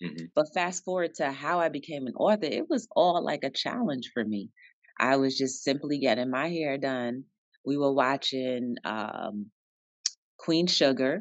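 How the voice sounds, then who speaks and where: A woman with an American accent speaks in a very deep, low voice with lively intonation over a quiet background. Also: fairly slow pace, dry sound with no echo. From New Jersey, Jersey City. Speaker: author and entrepreneur. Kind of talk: interview. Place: office. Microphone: video call.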